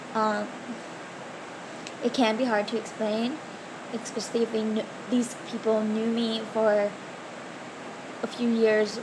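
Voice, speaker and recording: A woman's fairly high, monotone voice at a fairly slow pace, with flat intonation, audible room echo and noticeable background noise. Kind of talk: casual Q&A vlog.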